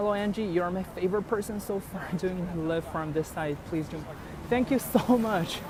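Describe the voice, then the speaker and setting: Over noticeable background noise, a man with a Chinese accent talks at a high pitch with ordinary pitch variation. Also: moderate pace. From China (Beijing). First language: Mandarin Chinese. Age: 20s. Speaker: livestream host. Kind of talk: casual livestream walking tour. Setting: outdoors, walking the streets. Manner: hesitant, many fillers.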